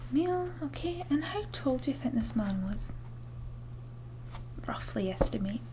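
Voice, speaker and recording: A soft-spoken woman talks at a fairly slow pace. Light background noise sits behind her. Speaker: witness. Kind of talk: role-play interview questions. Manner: soft, hushed ASMR voice. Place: home room. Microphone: webcam.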